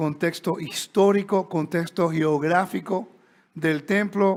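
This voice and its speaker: Speech comes very slowly. The intonation remains fairly even. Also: man, very clean recording, silent background. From Puerto Rico. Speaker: Bible teacher. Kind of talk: lecture. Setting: stage with audience. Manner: conversational.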